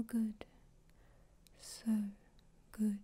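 A soft-spoken woman talks at a very slow pace in a fairly high pitch. Her tone is dark, mellow and somewhat breathy, with monotone, flat intonation. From Australia. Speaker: hypnosis ASMR performer. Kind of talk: hypnosis session.

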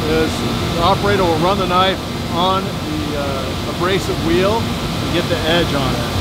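A man speaks at a fairly slow pace with ordinary pitch variation, his voice dry with no echo against loud background noise. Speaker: factory tour guide. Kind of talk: tour explanation. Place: factory.

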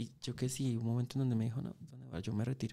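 The speaker moves at a very fast pace in a dark, mellow tone with fairly even intonation. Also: man. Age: 40s. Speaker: motorcycle mechanic and YouTuber; YouTuber. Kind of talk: interview conversation. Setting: podcast studio. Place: studio. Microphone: studio mic.

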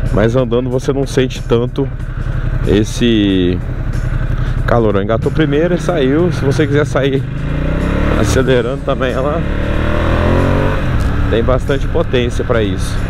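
Loud background noise surrounds fairly slow speech with long, frequent pauses, ordinary pitch variation, and a dry sound with no echo. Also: man. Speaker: motorcycle reviewer. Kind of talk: riding commentary. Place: motorbike.

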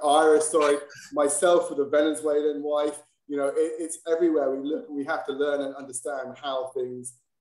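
The speech moves at a fairly quick pace. Audible room echo surrounds it. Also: man, quiet background. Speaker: webinar host. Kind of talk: webinar hosting. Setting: online webinar. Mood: warm, appreciative. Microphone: video call.

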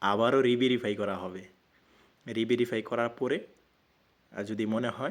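A man speaks in a normal speaking voice, at a medium pitch with fairly even intonation. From Bangladesh, Mymensingh (Muktagacha). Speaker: online telecom offer group admin, YouTuber. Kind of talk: casual talk to camera.

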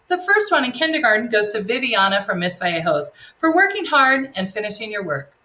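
With very wide pitch swings, a woman talks at a fairly quick pace in a raised, projected voice. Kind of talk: announcements to students. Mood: warm, encouraging. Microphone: webcam.

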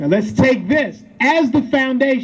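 In an American accent, a man talks at a moderate pace with very wide pitch swings. There is light background noise. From Pennsylvania, USA. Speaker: state senator. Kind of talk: ceremony speech. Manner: rousing, emphatic. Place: street. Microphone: camera far.

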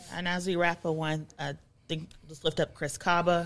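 A woman with an American accent talks at a moderate pace. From US, Pennsylvania. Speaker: podcast co-host and community organizer; podcast co-host. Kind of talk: casual chat. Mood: serious, earnest. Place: studio. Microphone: studio mic.

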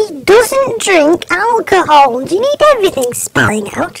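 A woman puts on a character voice at an extremely high pitch, her pitch swinging very widely at a moderate pace. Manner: exasperated.

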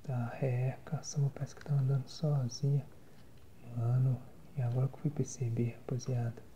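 A man at a moderate pace, monotone and flat, with long, frequent pauses over light background noise. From Brazil. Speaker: ASMR and gaming content creator. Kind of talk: casual talk to camera while gaming. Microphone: phone near.

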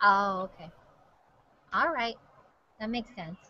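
A woman's voice comes out raised and projected. Its tone is bright and sharp. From Hawaii. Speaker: TV news host; news host. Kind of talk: casual chat. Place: office. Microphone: webcam.

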